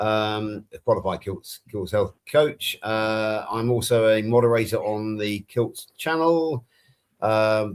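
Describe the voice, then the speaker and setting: A man with a West Country accent talks at a fairly slow pace with ordinary pitch variation, on a very clean recording with a silent background. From England. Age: 60s. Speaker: health coach, panel co-host. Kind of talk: casual chat.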